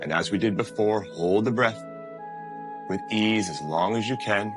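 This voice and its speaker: Over music in the background, a man talks in a very deep, low pitch with a gentle tone and very wide pitch swings. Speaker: meditation guide. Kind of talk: guided meditation. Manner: slow, gentle, instructive.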